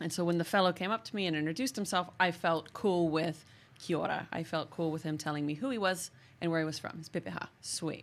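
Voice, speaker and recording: In a very clean recording with a silent background, a woman with an American accent talks at a very fast pace, her fairly low pitch showing ordinary variation. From US, San Diego. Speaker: podcast host. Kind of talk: casual chat.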